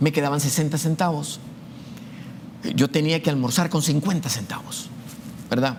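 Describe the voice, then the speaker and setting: A man with a fairly high pitch talks at a moderate pace and with ordinary pitch variation. He leaves long, frequent pauses. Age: 60s. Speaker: university math professor. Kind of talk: testimony. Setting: show interview. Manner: hesitant, frequent fillers and repetitions.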